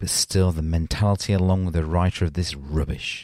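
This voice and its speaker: A man with a Leeds accent speaks at a moderate pace in a very deep, low pitch with a dark, mellow tone. The recording is very clean with a silent background and a dry, close sound with no echo. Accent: Leeds, northern English. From Leeds, England. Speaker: podcast host. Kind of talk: casual banter, podcast chat. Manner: joking, laughing.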